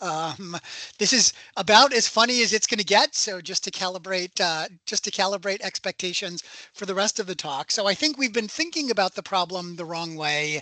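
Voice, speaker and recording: With an American accent, a man uses a raised, projected voice that has a high pitch and a bright, sharp tone. His pace is moderate and his pitch variation ordinary, and the sound is dry and close with no echo. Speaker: professor. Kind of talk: lecture. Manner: halting.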